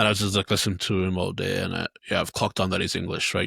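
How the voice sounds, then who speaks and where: This very clean recording has a silent background. The voice carries a bright, sharp tone and a North Welsh accent. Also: man. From North Wales (Anglesey). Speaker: podcast co-host and youth football coach. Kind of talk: casual chat.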